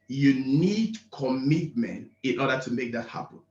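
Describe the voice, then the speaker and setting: A man talks at a fairly slow pace, somewhat breathy, with lively intonation. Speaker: event speaker. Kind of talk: motivational speech.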